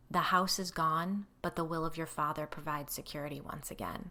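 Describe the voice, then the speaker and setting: Done at a fairly quick pace, this raspy, put-on character voice sits at a middle pitch. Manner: ominous.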